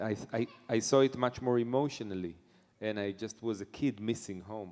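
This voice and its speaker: In an Israeli accent, a man speaks at a moderate pace in a medium pitch with fairly even intonation. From Israel, Netanya. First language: Hebrew. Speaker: jazz pianist. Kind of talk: interview. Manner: halting.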